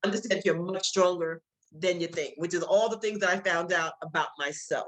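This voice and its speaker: Here a woman is talking. She has a medium pitch. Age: 60s. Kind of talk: masterclass presentation. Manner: halting, many fillers and repeats.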